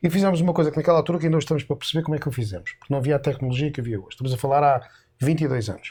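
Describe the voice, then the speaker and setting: In a European Portuguese accent, a man with a fairly high, somewhat breathy voice speaks very fast with lively intonation. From Portugal. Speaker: Portuguese-born radio and TV announcer, immigrant guest. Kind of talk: interview answer, telling stories from radio career.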